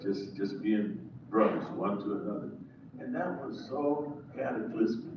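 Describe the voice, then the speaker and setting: A man speaks in a space with audible room echo and noticeable background noise. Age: 70s. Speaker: pastor. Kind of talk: audience remarks at panel event. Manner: halting.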